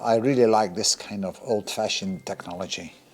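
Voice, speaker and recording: Over noticeable background noise, a medium-pitched man talks at a moderate pace with lively intonation. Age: 50s. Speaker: car restoration hobbyist. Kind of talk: workshop video commentary. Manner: casual, thinking aloud.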